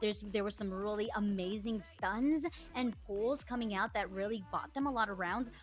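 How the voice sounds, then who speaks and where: Speech at a moderate pace with ordinary pitch variation, music in the background. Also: woman, medium pitch for a woman. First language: not English. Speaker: esports analyst. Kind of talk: live esports analysis.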